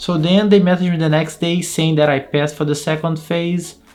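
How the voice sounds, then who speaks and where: Music plays behind a man speaking at a fairly quick pace. His high-pitched voice has monotone, flat intonation. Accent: Brazilian Portuguese. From Brazil. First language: Portuguese. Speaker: QA test engineer and YouTuber. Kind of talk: casual vlog storytelling.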